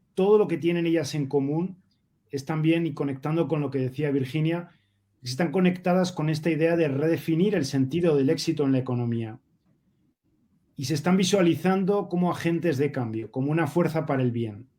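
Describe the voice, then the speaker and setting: A man with a Spanish accent speaks at a moderate pace in a fairly high pitch, his tone dark and mellow and his pitch variation ordinary. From Spain. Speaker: sustainability advocate, panelist. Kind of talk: panel discussion.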